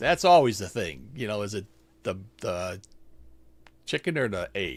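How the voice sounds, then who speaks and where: Male speech at a moderate pace, very cleanly recorded against a silent background. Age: 60s. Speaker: nurse, health news podcast host. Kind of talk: scripted health news explainer. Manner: reads script with casual asides.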